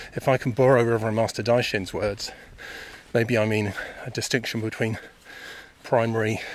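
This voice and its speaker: A man's medium-pitched voice in a southern English accent, fairly quick and monotone, flat, with noticeable background noise. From England, Buckinghamshire (Chilterns). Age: 50s. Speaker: podcaster, meditation practitioner. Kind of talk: reflective monologue. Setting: outdoors on a walk.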